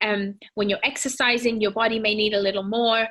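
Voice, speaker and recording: A woman's bright, sharp tone in a British accent. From Britain. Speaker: fitness and nutrition presenter. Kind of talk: presentation. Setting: home. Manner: casual, warm, with fillers.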